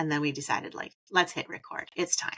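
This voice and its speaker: Delivered at a moderate pace with a Wisconsin accent, the speech has a dry, close sound with no echo. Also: woman. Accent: Wisconsin accent, long vowels. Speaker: podcast host. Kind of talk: casual chat; scripted podcast intro. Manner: animated.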